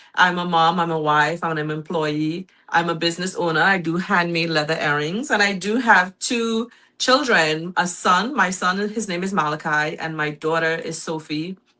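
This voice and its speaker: The speaker has a Trinidadian accent and a bright, sharp tone, talking at a moderate pace with ordinary pitch variation. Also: woman, fairly low pitch for a woman. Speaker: guest, mother and small business owner. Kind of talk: talk show interview. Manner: hesitant, with fillers.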